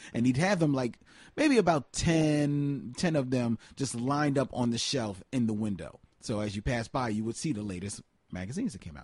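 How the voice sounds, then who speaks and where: An ordinary speaking voice moves at a moderate pace, with lively intonation and big swings in loudness. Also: man, medium pitch for a man. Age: 40s. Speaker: film podcast co-host. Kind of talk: casual chat. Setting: studio, in person with co-host.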